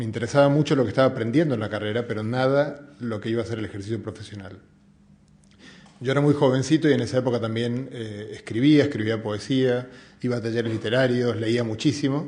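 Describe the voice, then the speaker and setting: Speaking very fast in an Argentine accent, a man keeps a medium pitch and fairly even intonation. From Argentina. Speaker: physicist and science communicator. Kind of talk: public talk. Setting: museum event with audience. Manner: hesitant, many fillers.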